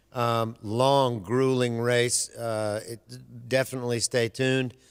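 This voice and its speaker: A man with a Southern US accent speaks at a very slow pace. His medium-pitched voice stays monotone, with flat intonation. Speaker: sports radio co-host. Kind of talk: race preview rundown; casual radio chat. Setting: radio studio with webcam.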